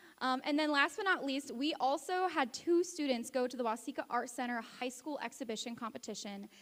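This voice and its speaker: This woman talks loudly in a high voice at a moderate pace, her pitch varying in an ordinary way. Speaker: teacher presenting awards. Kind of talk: awards ceremony speech.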